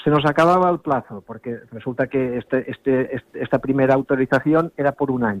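This man has an unremarkable speaking voice at medium pitch, with ordinary pitch variation, a fairly quick pace, and hardly any pauses. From Ibiza. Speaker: sailing club representative. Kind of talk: interview.

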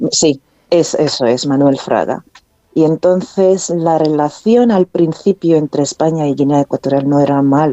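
A woman with a very deep, low pitch speaks fairly slowly, with ordinary pitch variation and very even loudness. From North Korea. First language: Korean (speaking Spanish). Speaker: author. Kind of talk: interview. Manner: halting.

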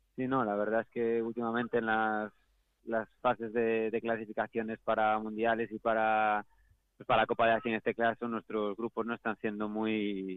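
In a Galician accent, the speaker keeps a moderate pace with monotone, flat intonation. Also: man, medium pitch for a man. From Galicia, Spain. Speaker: professional footballer. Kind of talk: interview.

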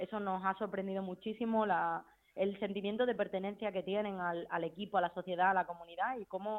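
A woman uses an ordinary speaking voice at medium pitch, keeping a fairly quick pace. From Spain. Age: 30s. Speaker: footballer. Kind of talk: interview.

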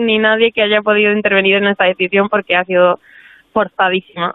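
A woman speaks with monotone, flat intonation. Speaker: athlete and doctor. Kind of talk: interview. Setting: phone call.

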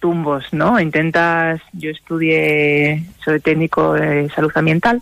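A woman talks in an unremarkable speaking voice. Her pitch is fairly low and her pace fairly slow. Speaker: rural entrepreneur. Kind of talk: radio interview.

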